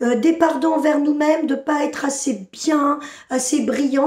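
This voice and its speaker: The speech comes at a fairly slow pace with audible room echo. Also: woman. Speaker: spiritual channeler. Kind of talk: channeled spiritual message. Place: home room. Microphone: phone near.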